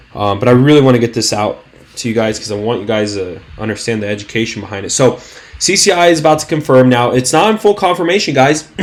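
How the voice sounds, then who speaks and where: Noticeable background noise surrounds a man talking at a very fast pace. His medium-pitched voice carries lively intonation and an animated tone. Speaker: stock trading YouTuber. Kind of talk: market analysis video. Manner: stuttering, halting; casual, animated.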